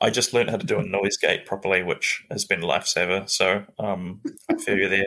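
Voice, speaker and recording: A man talks at a fairly quick pace with a New Zealand accent. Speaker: comedian and podcast host. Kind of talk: casual chat.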